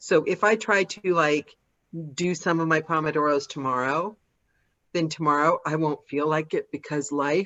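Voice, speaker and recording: Here is a woman with a plain, everyday voice, pitched fairly low. She speaks at a moderate pace with ordinary pitch variation. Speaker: audiobook narrator. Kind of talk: casual talk.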